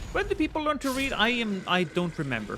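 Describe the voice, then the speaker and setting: Noticeable background noise surrounds a man who speaks at a moderate pace. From Norway. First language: Norwegian. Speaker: gaming streamer. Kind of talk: livestream gaming chat. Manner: casual, rambling.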